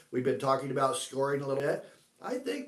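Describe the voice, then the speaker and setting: A man with an American accent talks at a fairly quick pace and a fairly high pitch, with audible room echo around him. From US Northwest (Washington state). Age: 60s. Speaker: orchard manager. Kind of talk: live Q&A. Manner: halting, many fillers and repeats.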